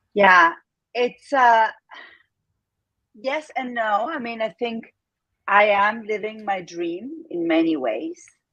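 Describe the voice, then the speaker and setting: A woman with an Argentine accent speaks very slowly in a fairly high voice, with long, frequent pauses. Her intonation is lively. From Argentina. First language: Spanish. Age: 50s. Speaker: entrepreneur. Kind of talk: interview.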